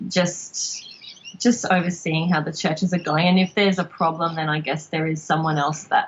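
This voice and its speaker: A woman with an Australian accent at fairly low pitch, moderate pace and fairly even intonation, over noticeable background noise. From Australia, Logan near Brisbane, Queensland. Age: 30s. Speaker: podcast guest, former evangelical. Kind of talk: casual interview chat. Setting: Skype call. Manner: hesitant, many fillers.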